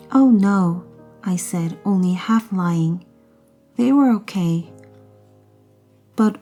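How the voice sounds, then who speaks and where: Soft-spoken and calm in tone, a woman talks at a very slow pace and a medium pitch with ordinary pitch variation and long, frequent pauses, music playing in the background. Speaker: mother reading English books aloud to children. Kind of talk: audiobook read-aloud of a children's novel. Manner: soft-spoken, calm.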